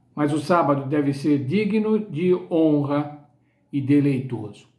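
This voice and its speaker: A man's voice with audible room echo. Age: 70s. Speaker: Bible study teacher. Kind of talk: sermon-style Bible lesson.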